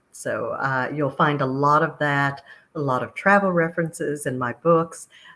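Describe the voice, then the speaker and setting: A woman speaks with a slight Texas accent, her pitch very deep and low and her tone bright and sharp. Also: moderate pace. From Texas, Austin. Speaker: author. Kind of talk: interview.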